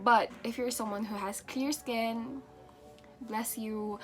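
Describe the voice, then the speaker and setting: Music plays in the background as a woman talks. Her pace is very slow, with ordinary pitch variation. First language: not English. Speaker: beauty vlogger. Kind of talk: casual talk to camera.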